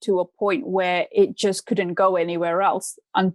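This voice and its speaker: This voice carries a British accent. The sound is dry and close, with no echo. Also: woman, quiet background. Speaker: mindset coach. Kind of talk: podcast interview.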